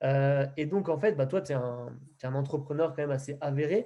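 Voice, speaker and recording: Somewhat breathy, a man speaks at a moderate pace. His tone is dark and mellow. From Picardy, northern France. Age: 20s. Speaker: podcast host, network marketing entrepreneur. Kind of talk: interview introduction. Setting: call. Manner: hesitant, many fillers.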